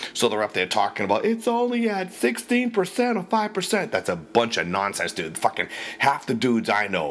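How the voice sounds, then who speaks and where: Speaking at a fairly quick pace with hardly any pauses, a man talks in an American accent. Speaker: radio ranter. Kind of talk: casual rant. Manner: profane, animated.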